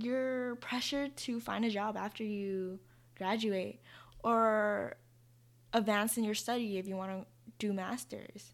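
A woman's fairly high voice at a fairly slow pace, with long, frequent pauses, fairly even intonation, and a very clean recording over a silent background. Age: 20s. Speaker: podcast host, college student. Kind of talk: casual solo monologue. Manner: informal, laughing often.

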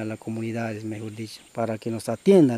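A man speaks over noticeable background noise. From Peruvian Amazon, Shipibo community. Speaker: former community chief. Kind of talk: interview testimony.

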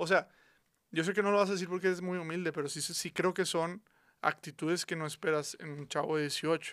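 A high-pitched man speaks fairly quickly in a Mexican accent with fairly even intonation. The recording is very clean, with a silent background. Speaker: podcast host. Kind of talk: casual chat.

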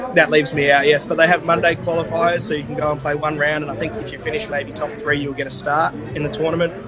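With an Australian accent, a man talks at a very fast pace in a fairly high voice with hardly any pauses, over noticeable background noise. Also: ordinary pitch variation. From Perth, Western Australia. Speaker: golfer. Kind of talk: casual interview.

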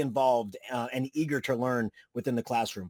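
An animated man speaks at a moderate pace, the sound dry and close with no echo. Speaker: podcast host and teacher. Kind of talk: casual chat.

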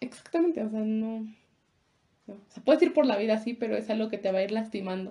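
A woman's fairly high, somewhat breathy voice with a dark, mellow tone, very fast delivery, ordinary pitch variation and big swings in loudness. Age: 20s. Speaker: podcast co-host. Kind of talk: casual chat.

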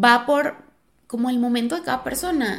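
Ordinary pitch variation in a woman's high voice. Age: 30s. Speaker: podcast host. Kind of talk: casual monologue. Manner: animated.

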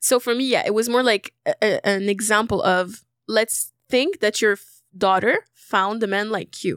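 Fairly high-pitched woman with an unremarkable speaking voice, hardly any pauses, fairly even intonation, and a dry, close sound with no echo. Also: fairly slow pace, very clean recording, silent background. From Algeria, moved to Canada at about 12. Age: 20s. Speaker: singer-songwriter and entrepreneur. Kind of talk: casual chat.

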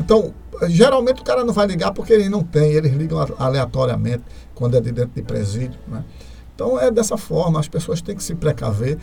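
A man talks at a fairly quick pace and a fairly high pitch. His pitch swings are very wide, and there is noticeable background noise. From Pernambuco, Brazil (Carpina). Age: 50s. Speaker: police colonel. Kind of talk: radio interview.

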